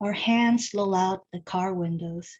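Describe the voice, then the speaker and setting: A woman with a medium pitch and a somewhat breathy, dark, mellow tone speaks at a moderate pace. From Peru. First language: Korean and Spanish. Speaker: poet. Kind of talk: poetry reading.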